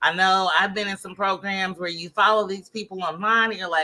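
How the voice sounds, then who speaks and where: Loud and fairly quick, a woman speaks in a bright, sharp tone at a medium pitch with ordinary pitch variation. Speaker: Facebook ads coach. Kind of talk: interview.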